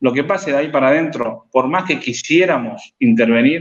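At a moderate pace, a man speaks with a Rosario accent. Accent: Argentine Spanish (Rosario). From Argentina, Rosario. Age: 30s. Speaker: life coach and writer. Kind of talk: interview conversation. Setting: live stream.

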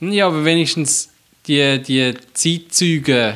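A man's fairly high, bright and sharp voice with a Swiss accent, at a very slow pace. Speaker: podcast co-host. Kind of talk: casual chat.

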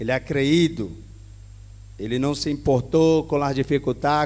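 A man with a Spanish accent speaks at a fairly high pitch. His pace is fairly slow and his intonation fairly even. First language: Spanish (speaking Portuguese). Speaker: pastor. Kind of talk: sermon.

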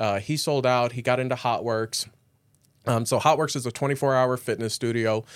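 A man with an American accent and an unremarkable speaking voice, medium in pitch, fairly quick, with ordinary pitch variation, on a very clean recording with a silent background. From St. Louis area, Missouri/Illinois. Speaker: gym and meal prep business owner. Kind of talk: casual interview. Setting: studio.

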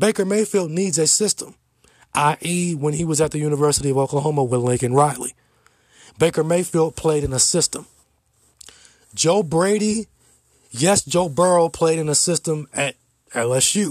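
A man speaks at a moderate pace with fairly high pitch and ordinary pitch variation, leaving long, frequent pauses. The recording is very clean with a silent background and a dry, close sound with no echo. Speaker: podcast host and sports commentator. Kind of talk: solo opinion podcast, sports talk monologue. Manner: emphatic, opinionated, repeats words for emphasis; direct, lecturing, preachy tone on mask-wearing.

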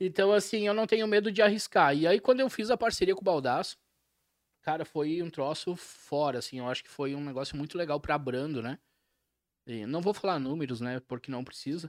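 A man with an ordinary speaking voice talks at a fairly quick pace in a fairly high pitch, his intonation lively, on a very clean recording with a silent background and a dry, close sound with no echo. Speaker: podcast host. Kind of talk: casual chat.

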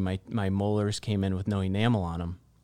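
A man with an American accent speaks in a dark, mellow tone and monotone, flat intonation, recorded very cleanly against a silent background. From northern Michigan. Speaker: real estate agent. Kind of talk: casual interview.

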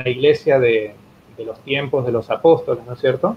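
At a fairly slow pace, a man of medium pitch talks with fairly even intonation. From Argentina, Entre Ríos. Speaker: pastor, church president. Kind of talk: interview, religious teaching. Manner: halting, many repetitions and fillers.

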